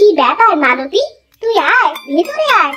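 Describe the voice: A woman in a squeaky, cartoonish character voice speaks at a moderate pace, her extremely high pitch swinging very widely.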